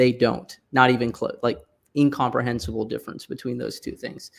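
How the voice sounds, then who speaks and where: A man's medium-pitched voice with vocal fry. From US Midwest (Michigan), born in Pakistan. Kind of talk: conversational discussion on a podcast livestream.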